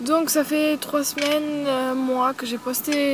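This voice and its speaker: Background noise is noticeable here. Through it, a woman's voice comes across. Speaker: YouTuber. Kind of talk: casual Q&A vlog. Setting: outdoors at a campsite. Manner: hesitant, many fillers; speaking softly.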